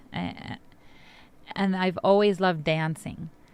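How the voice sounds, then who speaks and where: A woman in a Spanish accent, monotone and flat in intonation, on a very clean recording with a silent background. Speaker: poet and immigrant rights activist. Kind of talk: interview talk introducing a poem.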